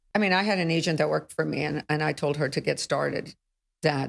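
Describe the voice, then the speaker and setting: The voice has vocal fry and fairly even intonation, moving at a moderate pace. The sound is dry and close, with no echo. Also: woman. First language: not English. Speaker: real estate broker. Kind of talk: podcast interview.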